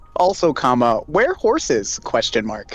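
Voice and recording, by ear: Moderate pace in a man's put-on character voice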